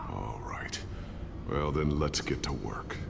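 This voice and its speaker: Over loud background noise, a whispering put-on character voice goes at a fairly slow pace. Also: man. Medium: machinima. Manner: calm, supportive.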